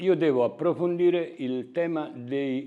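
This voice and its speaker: This man talks fairly slowly with an Italian accent, his dark, mellow tone rising and falling in an ordinary way. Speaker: carpenter and company owner. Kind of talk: corporate presentation. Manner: halting.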